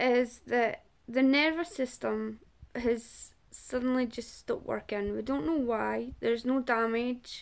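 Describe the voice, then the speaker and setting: A woman speaks at a fairly slow pace with a Scottish accent. The recording is very clean, with a silent background. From Scotland. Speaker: person living with a chronic illness. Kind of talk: testimony. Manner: halting.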